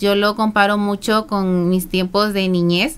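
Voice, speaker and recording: Her pitch is fairly high. This woman talks at a very slow pace. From southern Veracruz, Mexico. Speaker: beauty pageant contestant and psychologist. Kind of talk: interview. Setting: radio studio.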